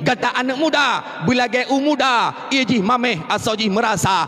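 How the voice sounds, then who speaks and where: A man talks at an extremely high pitch with lively intonation, in an Aceh accent. Background noise is noticeable. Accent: Acehnese-accented Indonesian. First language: Acehnese (speaking Indonesian). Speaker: Islamic preacher. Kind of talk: sermon.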